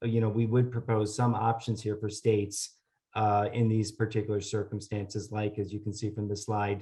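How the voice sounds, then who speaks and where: A man talks at a fairly quick pace in a fairly low, dark, mellow voice that is somewhat breathy. His intonation is monotone and flat over a quiet background. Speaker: government policy presenter. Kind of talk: webinar presentation. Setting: online webinar. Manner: hesitant, many filler sounds.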